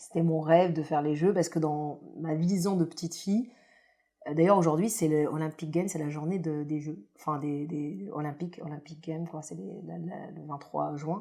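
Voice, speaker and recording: With a very deep, low pitch, a woman speaks at a moderate pace, her loudness swinging widely while her pitch varies in an ordinary way. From grew up in France, in a housing estate. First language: not French (speaking French). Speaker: former Olympic judoka. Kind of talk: podcast interview. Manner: hesitant, many fillers.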